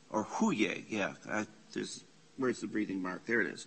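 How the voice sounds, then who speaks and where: The speaker is a man. His intonation is lively. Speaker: priest teaching a Bible class. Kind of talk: class lecture. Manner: halting when reading Greek.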